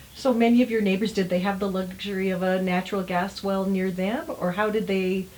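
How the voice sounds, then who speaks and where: Using an ordinary speaking voice, a woman talks at a fairly quick pace with hardly any pauses, keeping a medium pitch, fairly even intonation and very even loudness. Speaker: interviewer. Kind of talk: interview questions.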